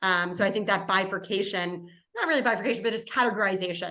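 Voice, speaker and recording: There is audible room echo as a woman talks very fast. She has an American accent. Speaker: impact investing panelist. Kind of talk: webinar panel discussion.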